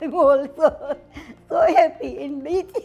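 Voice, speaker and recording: Extremely high-pitched for a woman, this woman's voice has ordinary pitch variation. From Gujarat, India; raised in Uganda. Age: 80s+. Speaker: head chef, restaurant owner. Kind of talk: interview answer. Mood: warm, cheerful, animated. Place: cafe. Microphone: lapel.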